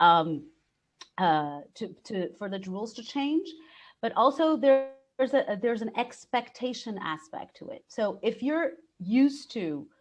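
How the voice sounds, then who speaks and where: Speaking very slowly in a Portuguese accent, a woman with a fairly high pitch makes very wide pitch swings. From Brazil. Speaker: expat coach. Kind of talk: live webinar Q&A. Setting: live online webinar.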